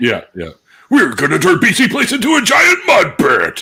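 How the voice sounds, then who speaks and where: Using a put-on character voice, a man speaks at a moderate pace with extremely high pitch. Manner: loud, hyped-up.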